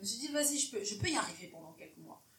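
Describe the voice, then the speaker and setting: A woman's voice with ordinary pitch variation, amid noticeable background noise and audible room echo. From Cameroon. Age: 20s. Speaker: podcast host. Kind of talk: casual interview chat. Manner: animated, laughing often.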